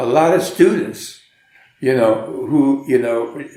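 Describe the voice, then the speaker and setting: Audible room echo mixed with noticeable background noise. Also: man. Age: 80s+. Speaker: jazz musician and teacher. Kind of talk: interview. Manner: halting, with many repetitions.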